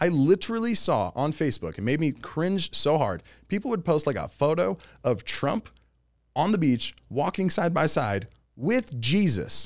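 A man speaks at a moderate pace in a fairly high voice, his pitch swinging very widely and catching in vocal fry, on a very clean recording with a silent background. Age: 30s. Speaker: podcast co-host. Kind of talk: casual chat.

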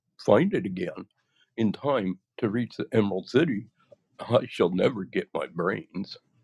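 A natural reading voice comes through over a quiet background.

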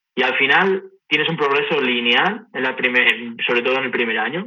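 This is a man with a normal speaking voice. His pitch is fairly high. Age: 20s. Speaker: gym enthusiast and former tennis player. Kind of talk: interview.

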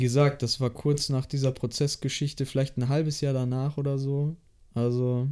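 A man's fairly high, dark and mellow voice, monotone with flat intonation at a moderate pace, on a very clean recording with a silent background. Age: 20s. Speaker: apprentice industrial clerk. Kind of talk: casual interview.

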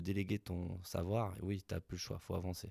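A man speaks in a very deep, low pitch with a dark, mellow, somewhat breathy tone. His intonation is fairly even, and the sound is dry and close with no echo. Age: 30s. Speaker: bakery business owner. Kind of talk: interview conversation.

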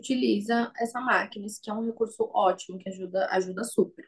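Somewhat breathy, a woman's medium-pitched voice moves at a moderate pace. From São Paulo city, Brazil. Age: 20s. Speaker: perfusionist. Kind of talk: interview.

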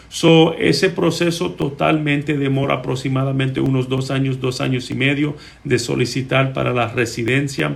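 The voice has vocal fry and ordinary pitch variation, moving at a moderate pace with hardly any pauses. Audible room echo surrounds it. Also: man, medium pitch for a man. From Puerto Rico. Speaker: immigration lawyer. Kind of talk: live-stream Q&A. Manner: hesitant, many filler sounds.

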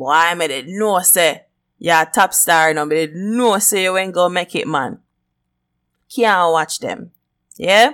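A woman with a Jamaican accent speaks at a fairly slow pace in a fairly low voice, leaving long, frequent pauses, on a very clean recording with a silent background. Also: lively intonation. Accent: Jamaican Patois-inflected. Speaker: podcast host. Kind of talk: casual monologue. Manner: animated.

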